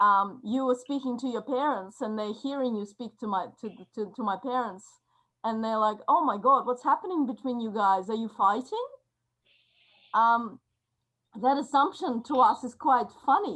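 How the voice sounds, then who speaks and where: A woman with a Russian accent speaks at a moderate pace in a high, bright, sharp voice. Her pitch varies in an ordinary way while her loudness swings widely. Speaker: workshop participant. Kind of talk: group discussion.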